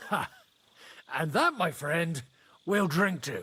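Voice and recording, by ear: Using a put-on character voice, a man speaks slowly at a fairly high pitch, his tone bright and sharp, with big pitch swings.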